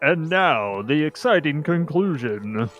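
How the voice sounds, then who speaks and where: A man's put-on character voice, fairly high-pitched and fairly slow, over faint background music. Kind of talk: broadcast announcer style. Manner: dramatic, exciting.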